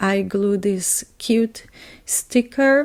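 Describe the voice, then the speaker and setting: Her voice has a medium pitch and a dark, mellow tone, and the woman speaks with a non-native accent. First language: not English. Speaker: scrapbooker. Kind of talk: casual crafting process voiceover.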